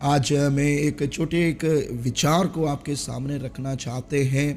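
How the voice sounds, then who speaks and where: Music plays in the background as a man with a non-native accent speaks. His fairly high pitch carries fairly even intonation. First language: not Hindi (speaking Hindi). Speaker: pastor. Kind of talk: sermon. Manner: halting, many fillers.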